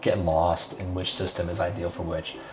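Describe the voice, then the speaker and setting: Spoken at a moderate pace, the voice comes with music playing in the background. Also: man. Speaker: CRM consultant. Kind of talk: software tutorial walkthrough. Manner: whispered, soft-spoken; casual, hesitant.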